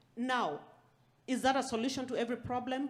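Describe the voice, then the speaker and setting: At a moderate pace, a woman with a non-native accent speaks in a high pitch. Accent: foreign. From outside the US. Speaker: aspiring farmer, panelist. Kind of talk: panel discussion.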